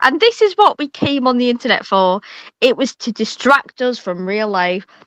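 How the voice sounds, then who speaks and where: A woman with a Yorkshire accent, high-pitched and lively in intonation, at a moderate pace, in a dry, close sound with no echo. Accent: picked up some Yorkshire. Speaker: streamer. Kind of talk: casual chat. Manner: animated.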